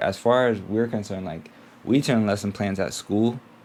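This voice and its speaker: The speaking is quiet. It goes at a moderate pace. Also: man. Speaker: teacher and vlogger. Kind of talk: casual vlog. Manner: quiet, keeping voice down; hesitant, many fillers.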